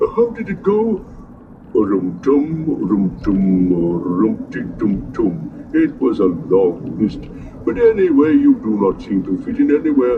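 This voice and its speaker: A man's put-on character voice, fairly high in pitch and fairly slow in pace, over clear background noise. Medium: read story. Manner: slow, ponderous, humming.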